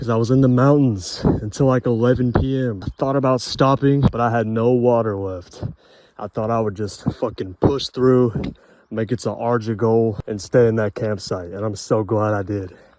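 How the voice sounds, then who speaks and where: A man with an American accent speaks at a moderate pace and a medium pitch. His intonation is fairly even, and noticeable background noise runs underneath. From United States. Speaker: hiker vlogger. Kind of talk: casual vlog. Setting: outdoors on a trail. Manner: casual, heavy swearing.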